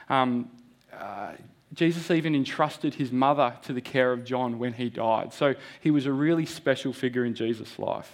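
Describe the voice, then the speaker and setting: A man speaks with an Australian accent at a moderate pace. His voice is medium in pitch with fairly even intonation, against a quiet background. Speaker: lay preacher. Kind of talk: sermon. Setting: church. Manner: halting.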